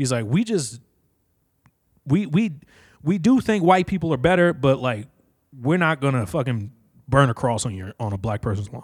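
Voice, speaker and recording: In a very clean recording with a silent background, a man with an American accent talks at a fairly high pitch, his voice making very wide pitch swings. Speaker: podcast host. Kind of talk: casual solo rant. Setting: home basement. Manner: loud, animated.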